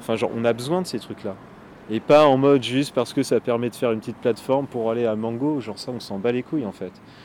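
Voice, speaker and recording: A man's very fast speech sits at a medium pitch with ordinary pitch variation. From France, La Rochelle. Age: 20s. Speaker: film student and skateboarder. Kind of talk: casual interview. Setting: on location. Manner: hesitant, many fillers.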